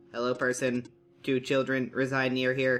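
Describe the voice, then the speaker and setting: Using a put-on character voice, a man speaks at a moderate pace with a medium pitch and monotone, flat intonation. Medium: game stream. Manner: literal, formal.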